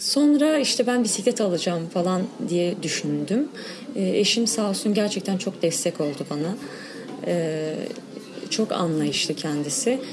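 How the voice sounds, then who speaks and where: A woman with a medium pitch speaks at a fairly slow pace, her pitch swinging very widely, as music plays in the background. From Diyarbakır, Sur district. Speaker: cyclist, women's cycling group member. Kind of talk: interview.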